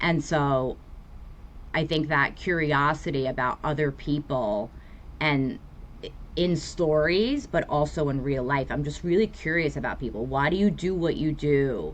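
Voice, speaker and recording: A woman with a New York accent speaks at a fairly slow pace. Her very deep, low voice has ordinary pitch variation. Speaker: therapist. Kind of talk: podcast interview.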